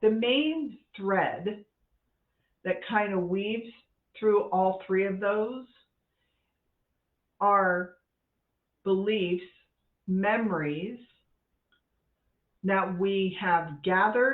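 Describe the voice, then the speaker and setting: Speaking at a very slow pace with long, frequent pauses, a woman keeps a medium pitch and ordinary pitch variation. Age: 60s. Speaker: life coach for women. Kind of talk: casual talk to camera. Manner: conversational, candid.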